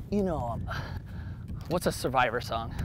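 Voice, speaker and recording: A man is whispering. He moves along at a fairly quick pace. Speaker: pro skateboarder turned golf channel host. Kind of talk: casual chat during a golf round. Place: open country.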